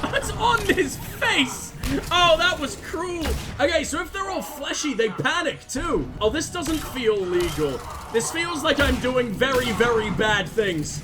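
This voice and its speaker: A man with an extremely high pitch and very wide pitch swings projects his voice in an animated tone at a fairly slow pace, with audible room echo and music in the background. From UK. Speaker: gaming streamer. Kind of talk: gameplay commentary.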